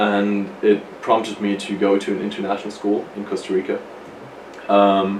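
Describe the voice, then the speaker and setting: A man with a German accent speaks at a moderate pace and a fairly low pitch, in a monotone, flat way. Noticeable background noise is heard. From Germany, Freiburg. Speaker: college athlete. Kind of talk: interview.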